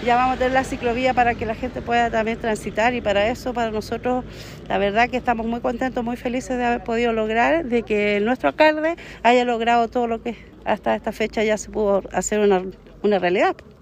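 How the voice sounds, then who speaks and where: At a fairly quick pace, a woman talks in a fairly high pitch with a normal speaking voice. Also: ordinary pitch variation. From Chile, Valparaíso region (Limache area). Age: 40s. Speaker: neighborhood association president. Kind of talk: street interview.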